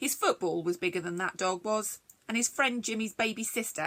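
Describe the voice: Plain reading aloud is heard here with ordinary pitch variation.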